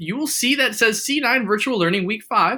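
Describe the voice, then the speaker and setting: A man's raised, projected voice with very wide pitch swings. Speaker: math teacher. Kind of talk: tutorial.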